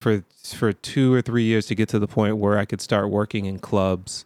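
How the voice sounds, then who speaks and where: Over a very clean, silent background with a dry, close sound and no echo, a man with a plain, everyday voice speaks at a fairly low pitch and moderate pace, his intonation fairly even. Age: 40s. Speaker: music producer and software trainer. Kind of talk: casual chat.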